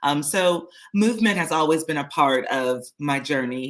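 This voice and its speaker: Speaking at a very slow pace, a woman with an American accent has a very deep, low pitch and ordinary pitch variation. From San Diego, California, US. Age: 40s. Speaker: lifestyle vlogger. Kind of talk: personal story on a livestream. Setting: live stream. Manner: casual, many filler words.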